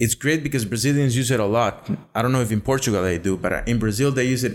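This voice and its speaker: A man with a Spanish accent speaks very fast at a medium pitch, with ordinary pitch variation and very even loudness. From Costa Rica. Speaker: podcast guest. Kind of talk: casual chat.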